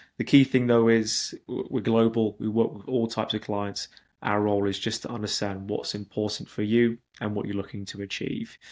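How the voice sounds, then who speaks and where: Speaking in a British accent at a moderate pace, a man uses a fairly low pitch and monotone, flat intonation. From Britain. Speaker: investment migration consultant. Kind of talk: webinar presentation. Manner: hesitant with repetitions.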